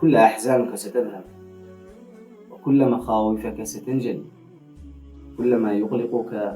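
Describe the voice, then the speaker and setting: With music in the background, the speaker's intonation stays lively throughout. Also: man. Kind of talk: motivational religious narration.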